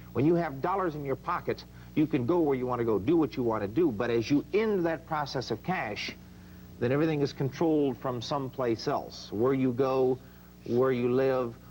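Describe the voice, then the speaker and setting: A man speaks at a medium pitch and a moderate pace with ordinary pitch variation. He has a plain, everyday voice. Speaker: book author being interviewed. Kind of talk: interview answer, book promotion.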